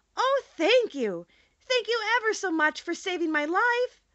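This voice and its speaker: A woman's squeaky put-on character voice, extremely high-pitched, at a moderate pace. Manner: grateful.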